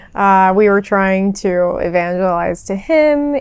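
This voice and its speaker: Speaking fairly slowly in a normal speaking voice, a woman keeps a medium pitch with ordinary pitch variation. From US Northeast. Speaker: vlogger. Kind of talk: vlog voiceover narration.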